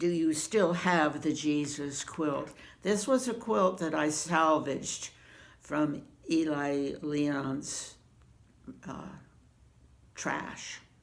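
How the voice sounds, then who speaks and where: In a room with audible echo, a woman speaks very slowly with long, frequent pauses, her very deep, low pitch showing ordinary variation. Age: 80s+. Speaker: quilter answering viewer questions. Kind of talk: casual chat. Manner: halting, many fillers.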